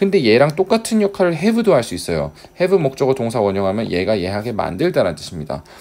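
Very fast speech from a man at medium pitch, with very wide pitch swings and vocal fry. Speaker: English teacher. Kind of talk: lecture.

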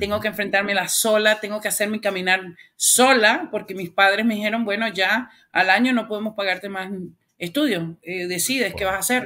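With a bright, sharp tone, a woman speaks at a moderate pace in fairly even intonation. The background stays quiet. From Venezuela, Caracas. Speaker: author and community leader; interview guest. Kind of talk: interview. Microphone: webcam.

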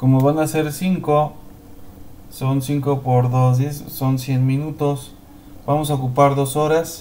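Over noticeable background noise and audible room echo, a man speaks very slowly with long, frequent pauses. His fairly high voice stays flat and monotone. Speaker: teacher. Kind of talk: tutorial. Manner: halting.

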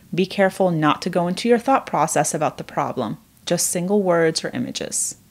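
A woman's ordinary speaking voice, fairly low in pitch, with ordinary pitch variation. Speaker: therapist. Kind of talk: guided meditation. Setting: video. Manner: slow, calm, soothing; gentle, with long pauses.

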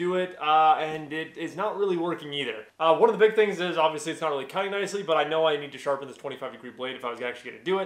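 Amid audible room echo and music in the background, a man speaks with ordinary pitch variation. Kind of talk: casual vlog chat. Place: workshop. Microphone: camera far.

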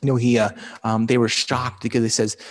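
A man with a medium-pitched voice over a quiet background. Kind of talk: homily and Mass celebration. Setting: chapel. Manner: fast talker. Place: church. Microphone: lapel.

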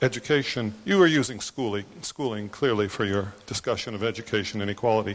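A man talks at a moderate pace in an ordinary speaking voice. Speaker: conference attendee, economist; audience member. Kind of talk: audience question. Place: hall.

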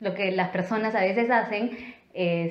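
A woman in audible room echo against a quiet background. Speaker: travel vlogger. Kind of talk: casual vlog chat. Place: home room.

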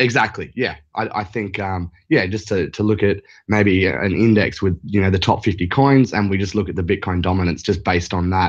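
Against a quiet background, someone with an Australian accent talks at a moderate pace with hardly any pauses and ordinary pitch variation. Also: man, fairly low pitch for a man. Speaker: caller, crypto trader. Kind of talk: phone-in discussion. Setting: Skype call.

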